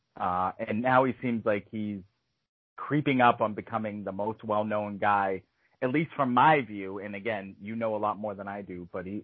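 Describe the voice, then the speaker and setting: A man with a plain, everyday voice speaks at a moderate pace, with a fairly low pitch and fairly even intonation. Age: 30s. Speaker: podcast host. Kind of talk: casual chat.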